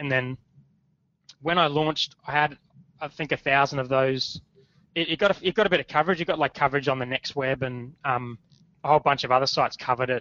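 A man with an Australian accent, fairly high in pitch with ordinary pitch variation, very fast yet with long, frequent pauses. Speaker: startup founder. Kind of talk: interview. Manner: casual.

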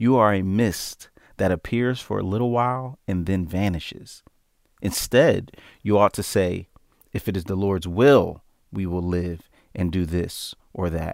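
A man speaks fairly slowly in a plain, everyday voice, fairly low with ordinary pitch variation. The recording is very clean with a silent background. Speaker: Bible study participant. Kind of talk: small group Bible study conversation.

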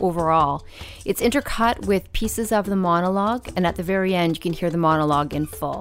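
With a normal speaking voice, a woman talks at a fairly quick pace, her medium pitch moving in lively intonation. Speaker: podcast host. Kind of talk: hosting, interview questions. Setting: live audience.

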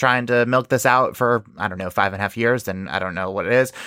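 A man's unremarkable speaking voice in an American accent, with ordinary pitch variation, on a very clean recording with a silent background. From New York. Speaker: true crime podcast host. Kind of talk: casual chat.

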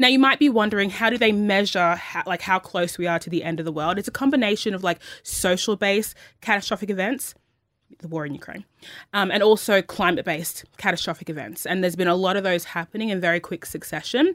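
At a very fast pace with ordinary pitch variation, the speech comes on a very clean recording with a silent background. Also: woman, medium pitch for a woman. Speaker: radio podcast co-host. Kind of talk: casual chat. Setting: studio. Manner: sounds like smiling even when serious.

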